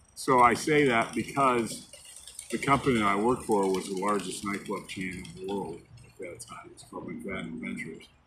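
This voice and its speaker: A man with an American accent speaks at a moderate pace in a fairly low pitch, his intonation lively and his loudness swinging widely. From US Midwest, northern Illinois. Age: 60s. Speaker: storyteller sharing life story. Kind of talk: personal life story monologue. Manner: casual, hesitant with fillers.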